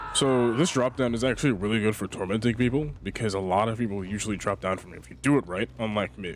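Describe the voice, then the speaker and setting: Amid noticeable background noise, a man with a fairly low pitch races along at a very fast pace with hardly any pauses, ordinary pitch variation and big swings in loudness. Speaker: gaming youtuber. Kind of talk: gameplay commentary. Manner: casual.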